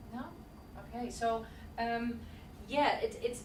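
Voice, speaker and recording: Room echo and noticeable background noise can be heard. Through them, a woman talks at a fairly high pitch. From Netherlands. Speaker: body language presenter. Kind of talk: presentation and Q&A.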